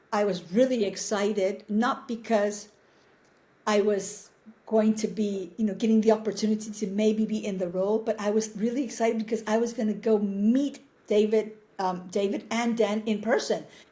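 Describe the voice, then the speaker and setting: A woman's fairly high, somewhat breathy voice with a dark, mellow tone, monotone, flat intonation and a moderate pace. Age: 60s. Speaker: actress. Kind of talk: interview. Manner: halting.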